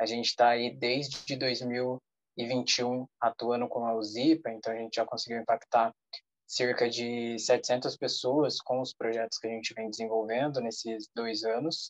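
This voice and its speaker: A man speaks at a moderate pace and a medium pitch in a flat monotone. The sound is dry and close, with no echo. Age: 20s. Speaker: social entrepreneur. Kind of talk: self-introduction in online meeting.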